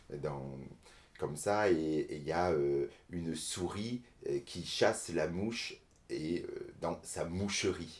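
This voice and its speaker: Very deep and low in pitch, a man speaks at a very slow pace. His pitch varies in an ordinary way. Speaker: storyteller. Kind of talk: interview. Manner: halting, many hesitations.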